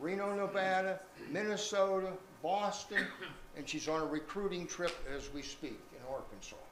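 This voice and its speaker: High-pitched male speech with ordinary pitch variation, noticeable background noise and audible room echo. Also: moderate pace. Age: 80s+. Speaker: retired teacher speaking at family reunion. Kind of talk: reunion speech.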